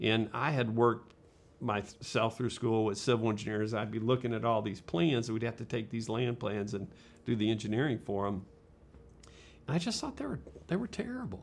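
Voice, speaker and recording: A man uses a normal speaking voice at a medium pitch. He talks at a fairly quick pace with fairly even intonation. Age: 60s. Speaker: architect and urban planner. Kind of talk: casual interview.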